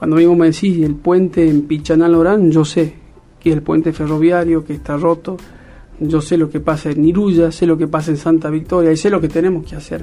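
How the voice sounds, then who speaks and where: With a fairly high pitch and monotone, flat intonation, a man speaks at a fairly quick pace. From Argentina, Salta (Cafayate). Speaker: politician. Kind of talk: interview.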